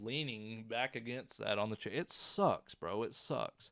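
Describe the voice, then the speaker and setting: A man talks with a Southern US accent. The recording is very clean, with a silent background. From US South. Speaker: YouTuber. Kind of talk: storytelling. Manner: animated; casual.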